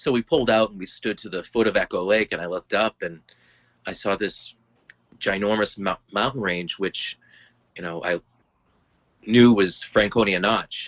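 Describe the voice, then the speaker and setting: With an American accent and a fairly low pitch, a man speaks at a moderate pace with long, frequent pauses and big swings in loudness, recorded in a dry, close sound with no echo. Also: ordinary pitch variation. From Lowell, Massachusetts. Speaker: healthcare enrollment administrator and hiker. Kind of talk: casual chat.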